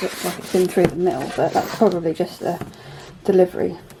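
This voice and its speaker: Noticeable background noise runs under this recording. A woman speaks with a British accent. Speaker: craft hobby youtuber. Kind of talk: casual unboxing tutorial chat. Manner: halting with fillers; animated, excited.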